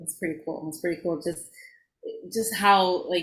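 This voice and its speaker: A woman with a New York accent speaks in a fairly low voice with fairly even intonation, recorded very cleanly against a silent background. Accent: New York (Bronx) accent noticeable in speech. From the Bronx, New York. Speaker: podcast co-host and actor, life coach. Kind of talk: casual interview chat.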